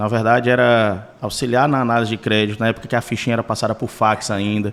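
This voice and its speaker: This man has a normal speaking voice of medium pitch. He talks at a fairly quick pace. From Ceará, Brazil (Sertão Central). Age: 40s. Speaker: car dealership co-owner. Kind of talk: podcast interview.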